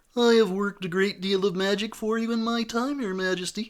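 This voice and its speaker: Using a put-on character voice, a man talks at a fairly quick pace and a high pitch. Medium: read story.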